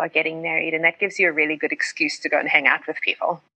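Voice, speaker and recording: A woman with a South African accent and a fairly low pitch talks at a very fast pace. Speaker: pastor and writer. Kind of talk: casual interview chat.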